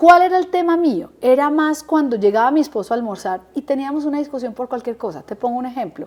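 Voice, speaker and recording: A woman talks at a very fast pace with hardly any pauses, her high voice full of lively intonation. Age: 50s. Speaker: interviewee sharing life story. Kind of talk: interview testimony. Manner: animated.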